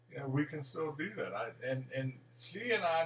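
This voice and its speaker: A man talks in an ordinary speaking voice, his pitch fairly high. His pace is fairly slow, with ordinary pitch variation. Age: 60s. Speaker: son visiting his mother in a nursing home. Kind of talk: casual chat. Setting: video call.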